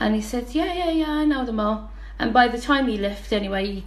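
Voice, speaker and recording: Here a woman speaks with a Dublin accent. Audible room echo and noticeable background noise come through. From Dublin, Ireland. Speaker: guest. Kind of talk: testimony.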